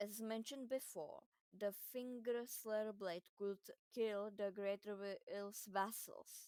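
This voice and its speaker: Very slowly, a woman talks at a fairly high pitch in a dry, close sound with no echo. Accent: non-native. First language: not English. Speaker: gaming lore video creator. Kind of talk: video game lore explainer.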